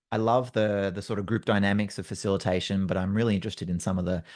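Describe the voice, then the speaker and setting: Against a quiet background, a man with an Australian accent talks at a very fast pace in a very deep, low pitch with fairly even intonation. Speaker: facilitator and trainer. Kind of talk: solo podcast monologue. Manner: casual, many fillers. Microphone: good mic.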